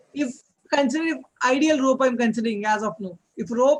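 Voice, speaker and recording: Speaking with an extremely high pitch, a man shows ordinary pitch variation. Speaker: physics tutor. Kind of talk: one-on-one lecture. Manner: fast; halting, many fillers.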